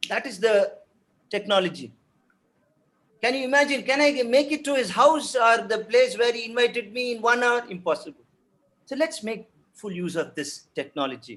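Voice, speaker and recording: A man with an extremely high pitch and a Tamil accent talks at a moderate pace with lively intonation and long, frequent pauses. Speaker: professor of French. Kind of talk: webinar panel talk. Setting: video call webinar. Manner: halting, many fillers and repetitions.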